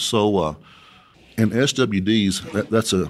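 Here a man speaks with a West Texas accent. His pitch is fairly low, with ordinary variation. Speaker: oilfield inventor and company president. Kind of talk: interview. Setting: conference venue.

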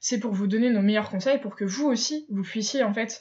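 A woman's somewhat breathy voice at a fairly high pitch. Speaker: podcast host, eco blogger. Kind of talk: casual monologue. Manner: hesitant, many filler sounds.

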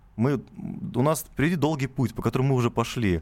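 Here a man talks fairly quickly with lively intonation. His voice is unremarkable and medium in pitch. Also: very clean recording, silent background. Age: 20s. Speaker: cheesemaker and farmer. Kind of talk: radio interview. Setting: radio studio.

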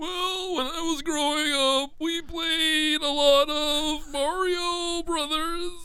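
A wheezy, put-on character voice speaks. The pace is very slow.

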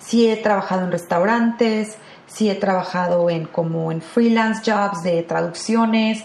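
Over noticeable background noise, a woman speaks fairly slowly at a medium pitch with fairly even intonation. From Mexico, Guadalajara (Jalisco). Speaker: actress. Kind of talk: interview.

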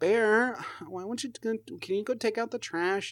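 A whiny, put-on character voice, fairly high in pitch and fairly slow, on a very clean recording with a silent background

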